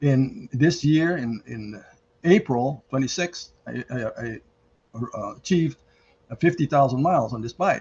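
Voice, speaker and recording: With a fairly high pitch and somewhat breathy delivery, a man speaks at a fairly slow pace with long, frequent pauses. His intonation is lively, and his loudness swings widely. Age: 80s+. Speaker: mechanical engineer and cyclist. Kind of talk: interview answer.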